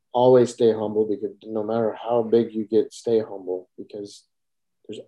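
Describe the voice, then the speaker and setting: A man with an American accent at a moderate pace. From Wisconsin, US Midwest. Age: 40s. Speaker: small business owner and social media creator. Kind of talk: casual interview.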